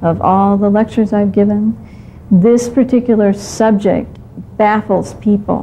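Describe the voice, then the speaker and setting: A woman talks at a fairly slow pace with monotone, flat intonation. Light background noise sits behind her. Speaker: therapist educator. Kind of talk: lecture. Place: studio. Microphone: lapel.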